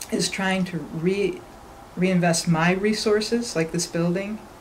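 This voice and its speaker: Amid audible room echo, a woman talks at a moderate pace with fairly even intonation. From western New York (North Tonawanda, near Buffalo). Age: 60s. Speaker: construction company owner. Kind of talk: interview conversation.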